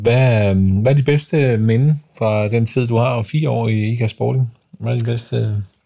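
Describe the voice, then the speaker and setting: Using a dark, mellow tone, a man talks at a medium pitch and a fairly slow pace with fairly even intonation. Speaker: podcast host. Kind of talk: casual interview.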